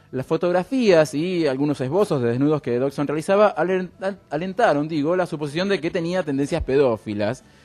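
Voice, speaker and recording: In an unremarkable speaking voice, a man talks at a moderate pace. He leaves hardly any pauses. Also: fairly high pitch for a man, lively intonation. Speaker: radio show co-host. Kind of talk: casual chat.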